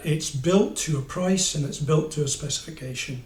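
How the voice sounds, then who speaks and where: A man's somewhat breathy, fairly high voice in an English accent, with audible room echo. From England. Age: 60s. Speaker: motorcycle reviewer. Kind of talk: casual review monologue. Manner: hesitant, many fillers. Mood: wry, humorous. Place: home room. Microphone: camera far.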